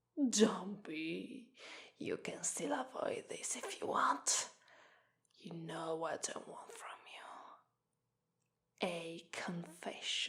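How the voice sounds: In a put-on character voice with an Italian accent, a woman whispers slowly with vocal fry and long, frequent pauses.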